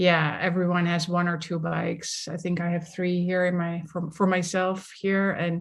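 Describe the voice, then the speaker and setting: Speaking with a Dutch accent and hardly any pauses, a woman keeps her fairly low pitch in a monotone, flat intonation. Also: moderate pace. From Netherlands, village near The Hague. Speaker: somatics leadership coach. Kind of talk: interview conversation.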